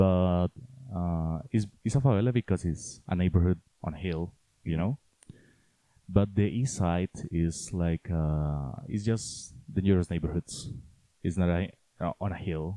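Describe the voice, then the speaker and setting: Fairly slow speech in a Spanish accent, with long, frequent pauses and ordinary pitch variation, on a very clean recording with a silent background. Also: man, very deep, low pitch for a man, dry, close sound with no echo. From Colombia, Cali. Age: 20s. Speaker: student. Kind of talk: interview. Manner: halting.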